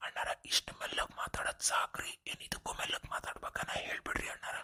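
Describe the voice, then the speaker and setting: Someone whispers and mumbles in a put-on character voice at a moderate pace. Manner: mumbling softly.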